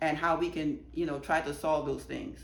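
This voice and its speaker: The woman's voice sits fairly low in pitch, with audible room echo around it. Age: 60s. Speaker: activist giving testimony. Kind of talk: testimony.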